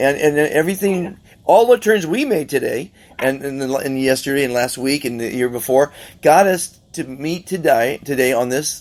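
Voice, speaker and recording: A man talks at a moderate pace in a fairly high voice, with ordinary variation in pitch. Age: 60s. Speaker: podcast host. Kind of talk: casual interview chat. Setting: on a yacht. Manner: halting, with many restarts.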